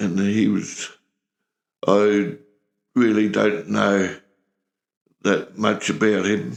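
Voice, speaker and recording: A man with an Australian accent and vocal fry, fairly low in pitch with ordinary pitch variation, very even in loudness, at a very slow pace with long, frequent pauses. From rural Australia. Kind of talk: interview answer. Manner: casual, reminiscing.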